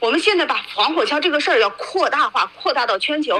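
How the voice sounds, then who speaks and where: A woman with a high pitch speaks fairly quickly in a raised, projected voice. Her pitch swings very widely amid noticeable background noise. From mainland China. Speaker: former human rights lawyer, activist. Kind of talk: interview.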